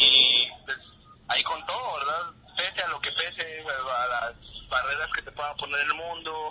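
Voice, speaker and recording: A man's fairly high voice with a Guatemalan accent, fairly slow pace and ordinary pitch variation, over noticeable background noise. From Guatemala, Huehuetenango. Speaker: rock musician. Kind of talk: interview.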